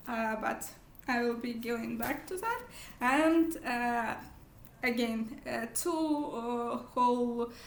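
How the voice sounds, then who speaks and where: A woman with a non-native accent speaks at a very slow pace and a high pitch. Pitch variation is ordinary, and room echo is audible. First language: not English. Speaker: book vlogger. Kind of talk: casual vlog monologue. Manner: halting, many fillers.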